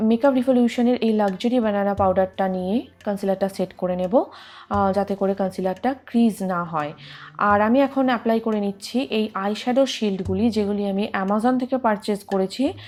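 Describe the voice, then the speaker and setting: A woman of medium pitch talks in an unremarkable speaking voice with ordinary pitch variation. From Bengal. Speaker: beauty vlogger. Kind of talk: tutorial. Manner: casual, friendly.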